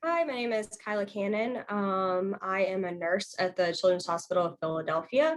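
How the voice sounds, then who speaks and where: A woman with an American accent talks at a moderate pace with hardly any pauses, in a normal speaking voice. Her pitch is medium, with ordinary variation. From US South (Louisiana/Arkansas). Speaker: nurse. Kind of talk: panel discussion.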